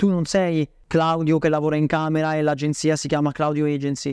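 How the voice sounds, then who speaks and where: Here a man with a fairly high-pitched voice talks at a fairly quick pace. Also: quiet background, dry sound with no echo. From Bolzano, northern Italy; northern Italy. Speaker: email marketing agency owner; podcast guest. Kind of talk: interview. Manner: halting. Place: home room.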